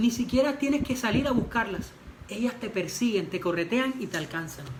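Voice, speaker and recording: Through audible room echo and noticeable background noise, a woman speaks with lively intonation at a fairly high pitch. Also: moderate pace. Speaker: pastor. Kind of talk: sermon. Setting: church livestream.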